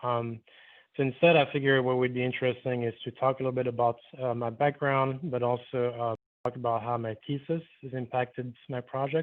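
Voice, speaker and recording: At a fairly quick pace, the speaker uses a monotone, flat intonation with a slight French Caribbean accent. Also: man, medium pitch for a man. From Martinique. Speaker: architect. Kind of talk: lecture. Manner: hesitant, many fillers. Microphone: phone audio after reconnecting.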